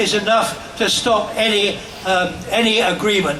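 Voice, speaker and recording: Noticeable background noise sits behind a man speaking at a high pitch. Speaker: peace campaigner. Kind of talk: rally speech. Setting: outdoors. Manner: energetic.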